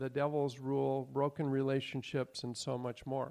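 Against a quiet background, a man with a fairly high pitch and a dark, mellow tone speaks at a moderate pace. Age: old. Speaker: Bible teacher. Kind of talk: Bible class teaching.

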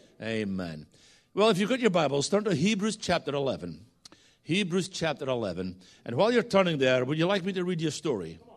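Speaking quite fast with a Scottish accent, a man uses a fairly high pitch and very wide pitch swings. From Scotland. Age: 60s. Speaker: guest preacher. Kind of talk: sermon. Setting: church.

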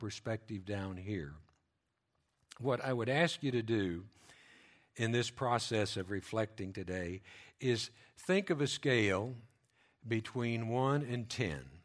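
A man at medium pitch with ordinary pitch variation and a very slow pace, on a very clean recording with a silent background. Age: 70s. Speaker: lay preacher. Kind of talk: sermon. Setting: church with microphone. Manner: halting.

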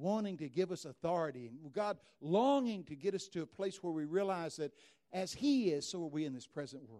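Here a man talks with a Texas accent. His pitch is high. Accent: Texas drawl. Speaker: preacher. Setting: stage, church gathering. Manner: loud, fast talker.

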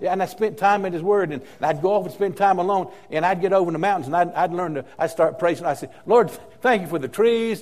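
Over noticeable background noise, a man with a high pitch races along at a very fast pace with hardly any pauses and ordinary pitch variation. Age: 70s. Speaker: pastor. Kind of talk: sermon. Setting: church. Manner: halting, repeats words.

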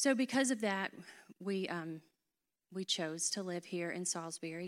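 A fairly low-pitched woman's voice with a North Carolina accent at a moderate pace. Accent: Southern US, North Carolina. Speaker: church member, ministry leader. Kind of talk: casual interview on stage.

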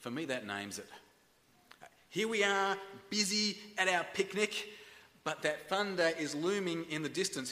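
A man with an Australian accent, his voice high-pitched, lively in intonation, raised and projected. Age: 40s. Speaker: pastor. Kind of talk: sermon. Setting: church. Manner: halting.

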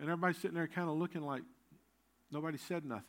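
This man's voice is fairly high-pitched and delivered in a flat monotone. The recording is very clean, with a silent background. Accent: Southern US. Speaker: pastor. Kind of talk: sermon. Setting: church. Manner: halting.

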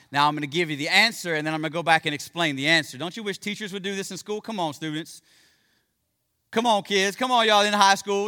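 The voice is raised and projected, with a bright, sharp tone. It moves at a very fast pace. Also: man. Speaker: pastor. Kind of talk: sermon. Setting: church. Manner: fast talker; informal, friendly.

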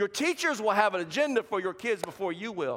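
Speaking at a fairly quick pace, a man with an American accent sends his pitch through very wide swings. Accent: Southern US, comes out now and then. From US South. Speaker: pastor. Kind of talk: sermon. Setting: church with congregation. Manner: animated.

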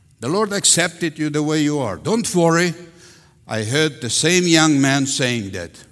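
With a Russian accent, a man speaks at a fairly slow pace in a fairly high pitch, his intonation lively. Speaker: pastor. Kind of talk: sermon. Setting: church. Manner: animated.

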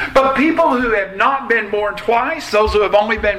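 A man in a raised, projected voice, high-pitched for a man, talks at a moderate pace with ordinary pitch variation over noticeable background noise. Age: 60s. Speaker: pastor. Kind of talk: sermon. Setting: church.

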